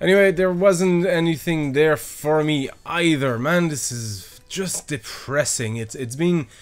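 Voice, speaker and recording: Over noticeable background noise, a man speaks with lively intonation at a fairly high pitch. His pace is fairly slow, with hardly any pauses. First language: French. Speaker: retro gaming YouTuber. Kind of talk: video voiceover narration. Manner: hesitant, many fillers.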